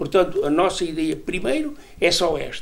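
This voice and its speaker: At a fairly slow pace, a man talks while audible room echo lingers around him. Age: 80s+. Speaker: cardiologist, emeritus professor. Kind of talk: TV interview.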